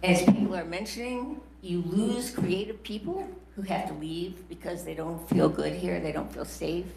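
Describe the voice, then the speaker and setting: Noticeable background noise, plus audible echo from the room. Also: woman. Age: 70s. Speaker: retired professor speaking at public comment. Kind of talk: public comment at county board meeting.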